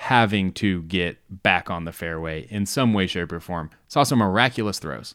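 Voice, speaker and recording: Very deep, low-pitched male voice with an American accent, ordinary pitch variation and a moderate pace. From US South, Georgia. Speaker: podcast co-host. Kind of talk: casual chat.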